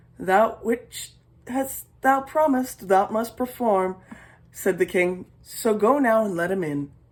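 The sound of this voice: The passage is read in an unforced voice.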